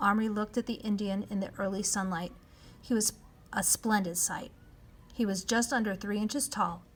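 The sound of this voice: The reading voice is unforced, and its intonation stays fairly even.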